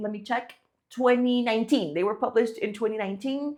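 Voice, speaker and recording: A woman's high voice moves through an ordinary range of pitch. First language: not English. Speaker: online business creator. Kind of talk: casual talk to camera. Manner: conversational with many fillers.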